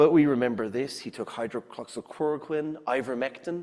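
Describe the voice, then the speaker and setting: Speaking at a moderate pace with an Irish accent, a man uses a medium pitch and ordinary pitch variation. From Ireland. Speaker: scientist and science writer. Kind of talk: public lecture.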